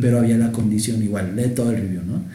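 A man's medium-pitched, somewhat breathy voice with a dark, mellow tone, a Mexican accent, fairly even intonation and audible room echo. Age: 30s. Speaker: podcast co-host. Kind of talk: casual chat.

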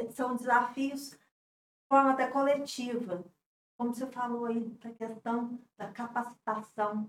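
Delivery is very slow, with long, frequent pauses and fairly even intonation. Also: woman. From Divinópolis, Minas Gerais, Brazil. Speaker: business association president. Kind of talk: interview.

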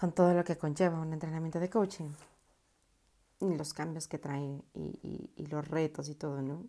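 With long, frequent pauses, a woman talks in a very deep, low pitch and a dark, mellow tone, keeping her intonation fairly even. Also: moderate pace. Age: 30s. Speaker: podcaster and life coach. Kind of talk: casual personal monologue. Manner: halting with frequent repetitions.

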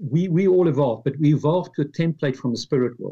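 Here a man speaks at a fairly high pitch. His tone is dark and mellow, and somewhat breathy. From South Africa, Pretoria. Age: 50s. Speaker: author. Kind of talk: interview.

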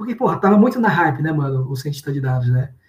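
Set against noticeable background noise, a man speaks with a fairly high pitch and lively intonation. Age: 30s. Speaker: data engineer. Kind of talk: interview. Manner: casual, with many fillers and repetitions.

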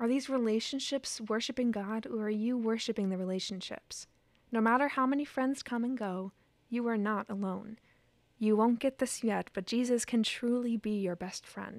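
A woman with an American accent speaks in an unremarkable speaking voice, pitched fairly high with fairly even intonation. The recording is very clean, with a silent background. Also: moderate pace. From rural Indiana, US Midwest. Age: 20s. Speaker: musical theater student. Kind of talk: casual interview chat; reading aloud her letter.

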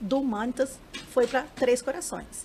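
A woman's high pitch shifts in an ordinary way as she talks at a fairly slow pace. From Varginha, Minas Gerais, Brazil. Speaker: UFO sighting witness. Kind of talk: interview.

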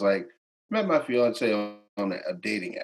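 A man with an American accent speaks with very wide pitch swings over music in the background. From McKeesport, Pennsylvania. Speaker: musician. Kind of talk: casual interview.

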